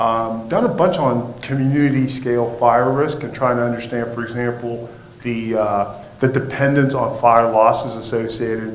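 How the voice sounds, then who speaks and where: With audible room echo and noticeable background noise, a man at medium pitch talks at a moderate pace with hardly any pauses and fairly even intonation. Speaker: fire safety professor. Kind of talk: lecture. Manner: halting, many fillers.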